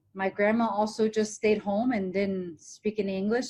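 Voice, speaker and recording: Somewhat breathy, a woman with a fairly high pitch speaks at a moderate pace. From Hong Kong, raised in small-town Ohio from age ten. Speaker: TV presenter and motivational speaker. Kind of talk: podcast interview.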